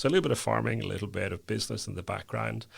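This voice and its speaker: In a very clean recording with a silent background, a man speaks with vocal fry at a very deep, low pitch. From Northern Ireland, County Down. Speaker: company chief executive. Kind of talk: podcast interview.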